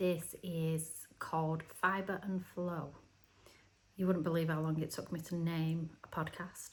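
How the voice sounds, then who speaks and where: A woman's somewhat breathy, very slow delivery with monotone, flat intonation. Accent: northern English. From northern England, Oldham near Manchester. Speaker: knitting podcaster. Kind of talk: casual video podcast chat. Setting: at home. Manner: hesitant, many fillers.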